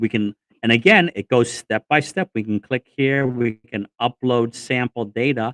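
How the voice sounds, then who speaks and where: The voice moves at a fairly slow pace with ordinary pitch variation, in a dry, close sound with no echo. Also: man, medium pitch for a man. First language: not English. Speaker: Lean Six Sigma trainer and consultant. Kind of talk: livestream software demo. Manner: casual, with frequent 'um' fillers.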